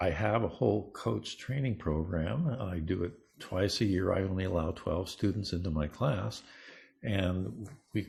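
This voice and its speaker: A man speaks fairly slowly in a very deep, low pitch with vocal fry and lively intonation. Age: 70s. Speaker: neuroscience researcher and coach. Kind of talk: interview.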